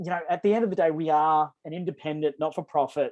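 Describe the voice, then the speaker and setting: Talking at a fairly quick pace, a man with a fairly high voice is recorded with a dry, close sound with no echo. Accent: Australian. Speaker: energy program presenter. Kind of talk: webinar presentation. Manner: fast.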